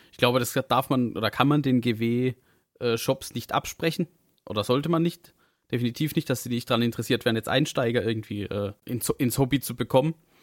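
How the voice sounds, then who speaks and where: In a very clean recording with a silent background and a dry, close sound with no echo, a man with an ordinary speaking voice talks at a fairly quick pace. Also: medium pitch for a man, ordinary pitch variation. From southern Germany. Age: young. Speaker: podcast co-host. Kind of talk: casual chat.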